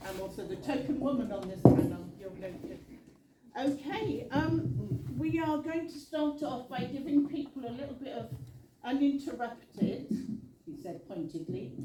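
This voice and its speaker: A woman's high voice at a moderate pace, with very wide pitch swings and big swings in loudness, amid noticeable background noise and audible room echo. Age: old. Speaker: charity chief executive, panel moderator. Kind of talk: panel moderation. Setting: public hustings event with audience.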